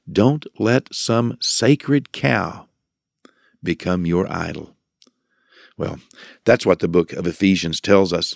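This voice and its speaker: A man speaks very slowly at a fairly low pitch, with long, frequent pauses and lively intonation. The recording is very clean and dry, close with no echo, against a silent background. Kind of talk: devotional talk. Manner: hesitant, many fillers.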